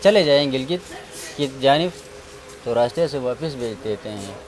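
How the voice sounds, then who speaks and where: Noticeable background noise runs under this recording. A man speaks at a fairly high pitch with ordinary pitch variation. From Gilgit, Pakistan. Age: young. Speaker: tourism worker. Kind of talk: interview answer.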